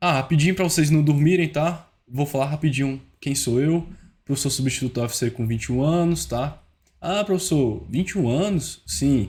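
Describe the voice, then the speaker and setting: A man with a Ceará accent speaks in a fairly high, somewhat breathy voice. His pitch varies in an ordinary way. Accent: Ceará (northeastern Brazilian). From Brazil, Ceará. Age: 20s. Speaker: teacher giving exam-prep tips. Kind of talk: online tutorial. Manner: informal, fast-paced.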